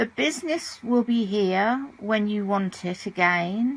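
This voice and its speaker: A woman with a British accent. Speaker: audiobook narrator. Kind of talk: audiobook reading.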